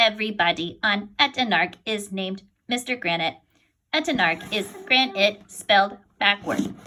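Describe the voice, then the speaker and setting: At a moderate pace, a woman uses a put-on character voice pitched in the medium range. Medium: read story. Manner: formal, stiff.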